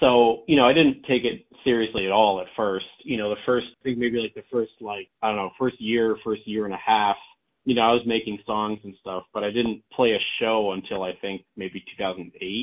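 In an ordinary speaking voice, a man with a fairly low pitch keeps fairly even intonation at a moderate pace with hardly any pauses. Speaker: songwriter and vocalist. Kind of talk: interview answers, casual chat.

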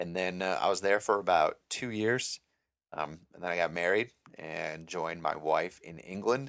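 A man with an American accent talks at a moderate pace in a very deep, low voice with ordinary pitch variation. The recording is very clean, and the background is silent. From Minnesota, Mankato. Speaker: podcast host, active duty airman. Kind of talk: solo podcast monologue. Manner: casual, many filler words.

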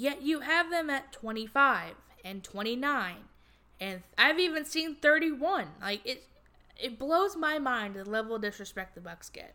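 In a raised, projected voice with a bright, sharp tone, a woman speaks at a high pitch and a fairly slow pace, with very wide pitch swings and big swings in loudness. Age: 20s. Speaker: sports podcast host. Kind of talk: solo sports commentary podcast. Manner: animated.

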